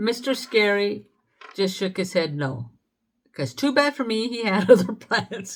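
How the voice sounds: Quiet surroundings behind a natural reading voice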